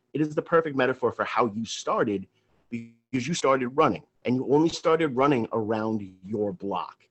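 With an American accent, a man talks in a plain, everyday voice at medium pitch, a moderate pace and lively intonation. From Long Island, New York. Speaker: radio co-host. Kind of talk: casual interview chat. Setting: radio studio. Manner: effusive, formal introductions.

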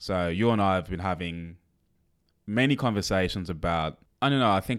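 On a very clean recording with a silent background, a man speaks fairly quickly in an ordinary speaking voice, fairly low in pitch with ordinary variation. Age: 30s. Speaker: podcast host. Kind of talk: casual chat.

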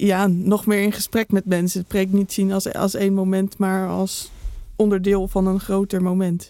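A woman's dark, mellow tone at a medium pitch, monotone and flat, at a fairly slow pace. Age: young. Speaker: theologian, podcast co-host. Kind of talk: casual chat.

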